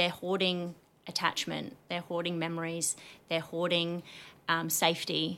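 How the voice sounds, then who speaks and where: An Australian-accented woman, fairly low in pitch, fairly slow, in a flat monotone with a bright, sharp tone. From Australia, New South Wales (Lithgow), then Queensland from 15. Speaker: psychosocial recovery coach and business owner. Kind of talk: casual interview chat.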